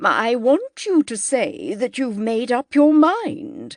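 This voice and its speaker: In a put-on character voice, a woman projects a raised, high-pitched voice with lively intonation at a very slow pace, the sound dry and close with no echo. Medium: read story. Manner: curt, disapproving.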